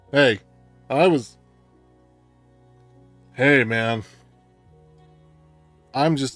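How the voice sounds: With music in the background, a man puts on a gruff character voice at medium pitch.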